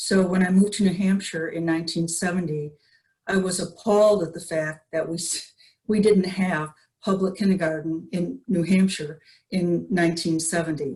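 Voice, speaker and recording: Her voice is dark, mellow and somewhat breathy as the woman speaks at a moderate pace with a fairly low pitch and fairly even intonation. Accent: American. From Michigan. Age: 70s. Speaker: community member. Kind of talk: public testimony.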